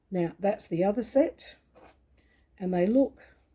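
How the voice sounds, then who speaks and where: The speaker is a woman with a somewhat breathy voice. Her tone is dark and mellow. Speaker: quilting tutor. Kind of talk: tutorial. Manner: slow.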